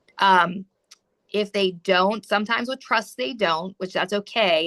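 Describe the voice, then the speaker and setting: A woman speaks at a fairly quick pace in a bright, sharp tone. Her pitch varies in an ordinary way, and the sound is dry and close with no echo. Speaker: real estate attorney. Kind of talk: training lecture. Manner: casual, conversational.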